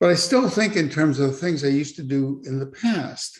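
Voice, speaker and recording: This man speaks in a fairly high, somewhat breathy voice. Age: 70s. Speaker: church member sharing his story. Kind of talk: testimony.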